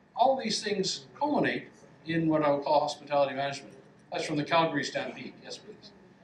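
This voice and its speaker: Audible room echo and noticeable background noise surround the speaker. A man talks at a fairly quick pace with a fairly high pitch and ordinary pitch variation. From Canada, west coast. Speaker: professor. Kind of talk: lecture. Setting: lecture hall with audience.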